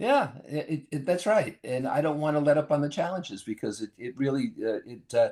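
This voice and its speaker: This man has a dark, mellow tone and a fairly high pitch. He talks at a moderate pace with lively intonation. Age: 80s+. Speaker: consultant and author. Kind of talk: casual interview chat.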